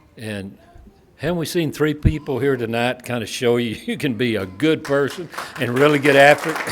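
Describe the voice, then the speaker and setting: Crowd noise fills the background. Over it, a man speaks with ordinary pitch variation. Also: medium pitch for a man, moderate pace. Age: old. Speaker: former college baseball coach. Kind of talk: ceremony speech. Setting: stage with audience. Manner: halting.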